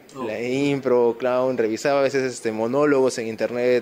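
A man talks at a moderate speed. Noticeable background noise sits behind his voice. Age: 20s. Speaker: comic shop owner. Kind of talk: casual interview.

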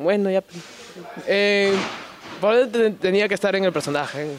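A man talks at a medium speed with noticeable noise behind him. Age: 20s. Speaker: professional wrestler. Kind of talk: casual interview.

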